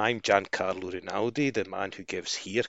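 A man speaks with a Scottish accent. His pace is moderate and his pitch variation ordinary. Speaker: football podcast host. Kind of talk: casual chat.

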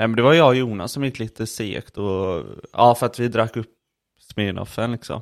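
An ordinary speaking voice from a man, medium in pitch and moderate in pace, on a very clean recording with a silent background. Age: 20s. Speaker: podcast co-host. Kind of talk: casual chat.

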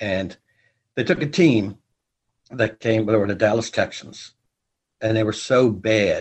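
Somewhat breathy and at a fairly slow pace, a man with an American accent speaks at a medium pitch with ordinary pitch variation and long, frequent pauses. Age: 70s. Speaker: marching band leader and sports historian. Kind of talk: interview.

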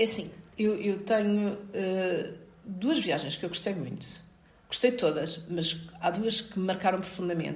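A woman speaks fairly slowly at a medium pitch with ordinary pitch variation. There is audible room echo. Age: 40s. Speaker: occupational safety expert and university lecturer. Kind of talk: interview.

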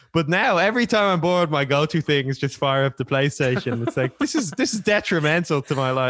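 In an Irish accent, a man with a fairly high voice speaks very fast with lively intonation, very even loudness and hardly any pauses, in a dry, close sound with no echo. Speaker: rapper. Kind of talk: casual chat.

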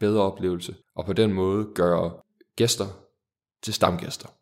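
The man talks at a moderate pace. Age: 20s. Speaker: startup founder. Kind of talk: interview.

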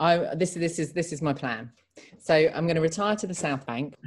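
A woman speaks with a southern English accent and ordinary pitch variation. The recording is very clean, with a silent background. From England, Reading. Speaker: podcast host for an arts charity. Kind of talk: casual chat.

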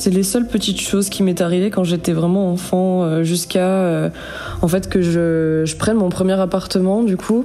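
A woman speaks at a moderate pace with very even loudness and fairly even intonation. Music plays in the background. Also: medium pitch for a woman. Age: 20s. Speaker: storyteller sharing paranormal experience. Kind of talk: personal testimony. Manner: hesitant, many fillers.

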